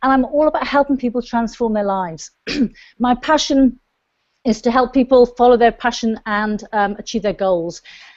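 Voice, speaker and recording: This woman has a Welsh accent and a fairly high pitch. She speaks at a moderate pace with ordinary pitch variation. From South Wales, UK. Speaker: online show host, coach. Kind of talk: show intro to camera.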